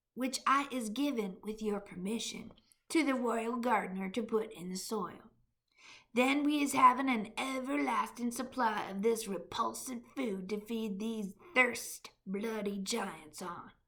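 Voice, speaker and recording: A put-on character voice from a woman, its pitch fairly high. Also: fairly slow pace. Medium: read story. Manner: ungrammatical, playful word-mangling.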